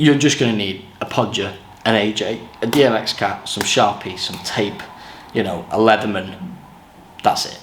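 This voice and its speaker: Amid noticeable background noise and audible room echo, a man with an English accent speaks at a fairly low pitch and moderate pace, with ordinary pitch variation and long, frequent pauses. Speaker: touring lighting technician. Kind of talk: tutorial. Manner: casual.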